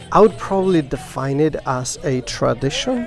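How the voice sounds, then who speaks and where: A man is speaking. Music plays in the background. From rural Mexico. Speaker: charro roping teacher. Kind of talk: documentary interview.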